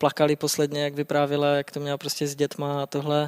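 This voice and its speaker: A man talks in a fairly high register. The recording sounds dry and close, without any echo. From Czechia, Třinec (Silesian border region). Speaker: illegal Chernobyl zone explorer and guide. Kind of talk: interview. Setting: studio.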